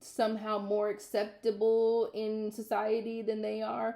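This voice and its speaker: A woman speaks at a medium pitch with a dark, mellow tone. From US Midwest, Minnesota. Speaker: vlogger. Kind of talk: casual vlog monologue. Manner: loud.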